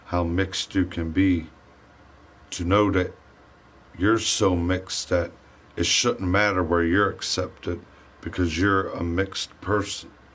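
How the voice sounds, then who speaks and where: Pausing long and often, a man speaks at a fairly slow pace with a very deep, low pitch and monotone, flat intonation. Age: 40s. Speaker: livestreaming gamer. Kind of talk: casual livestream monologue. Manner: rambling, halting.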